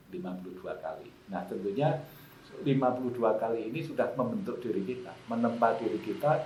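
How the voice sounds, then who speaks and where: Against noticeable background noise and audible room echo, a man at a medium pitch talks at a fairly quick pace, with very wide pitch swings and big swings in loudness. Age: 60s. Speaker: election oversight official. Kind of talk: podcast conversation. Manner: hesitant, many fillers.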